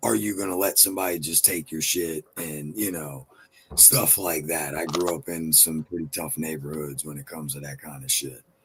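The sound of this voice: An extremely low male voice with a slightly husky edge and fairly even intonation.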